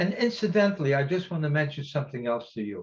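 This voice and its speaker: A man speaks with very wide swings in pitch. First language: Yiddish. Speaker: Holocaust survivor speaker. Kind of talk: testimony. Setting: virtual event. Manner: halting.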